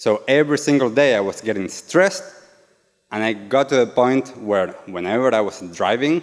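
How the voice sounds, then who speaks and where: At a fairly slow pace, the speaker talks in an Argentine accent with lively intonation. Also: man. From Argentina. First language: Spanish. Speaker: yoga and meditation teacher. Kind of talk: talk to a live audience. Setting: stage with audience.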